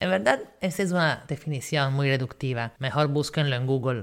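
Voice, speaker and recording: Animated in tone, the speaker uses an Italian accent, a moderate pace and ordinary pitch variation on a very clean recording with a silent background. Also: woman. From northeastern Italy, near Croatian border. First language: Italian (speaking Spanish). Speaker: podcast host. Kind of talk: educational storytelling monologue.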